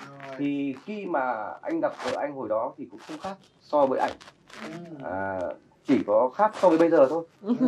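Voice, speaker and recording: With light background noise, a man speaks at a fairly slow pace, taking long, frequent pauses, his pitch swinging very widely and his loudness shifting in big swings. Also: fairly high pitch for a man. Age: 40s. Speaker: actor, model, singer and photographer; talk show guest. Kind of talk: talk show interview. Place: studio.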